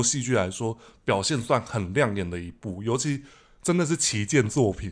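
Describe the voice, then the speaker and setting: A man's pitch swings very widely. The background is silent and the recording very clean. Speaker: podcast host. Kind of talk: casual chat; podcast outro.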